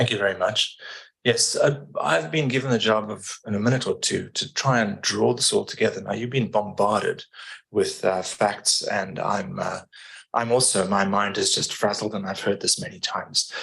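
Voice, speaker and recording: A man speaks with a South African accent. His pace is moderate. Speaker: environmental engineering consultant. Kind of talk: public meeting presentation.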